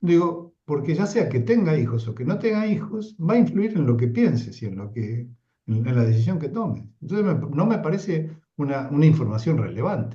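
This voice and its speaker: In an Argentine accent, the speaker uses a dark, mellow, somewhat breathy tone with very wide pitch swings at a moderate pace, with audible room echo. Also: man, fairly high pitch for a man. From Argentina. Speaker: psychoanalyst lecturer. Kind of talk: lecture discussion.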